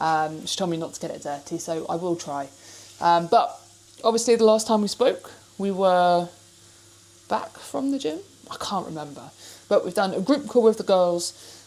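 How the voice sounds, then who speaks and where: A woman with an English accent speaks at a medium pitch with lively intonation. Her loudness swings widely, and she leaves long, frequent pauses. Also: moderate pace. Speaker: fitness vlogger. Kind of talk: casual vlog. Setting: kitchen.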